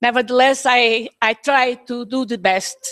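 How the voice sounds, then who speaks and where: In a Portuguese accent, a woman speaks at a fairly slow pace with a high pitch and fairly even intonation. The sound is dry and close with no echo. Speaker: academic speaker. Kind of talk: conference presentation. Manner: halting.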